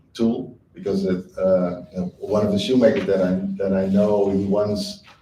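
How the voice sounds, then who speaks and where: This man's voice has a dark, mellow tone and fairly low pitch, delivered in a monotone, flat intonation with audible room echo. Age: 50s. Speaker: shoemaker and teacher. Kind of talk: panel talk. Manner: hesitant, many fillers.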